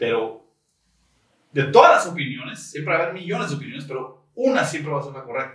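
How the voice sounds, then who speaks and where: A man with an ordinary speaking voice and a fairly high pitch talks at a fairly quick pace, with ordinary pitch variation and big swings in loudness. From Tijuana, Mexico. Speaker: podcast guest. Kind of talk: casual chat.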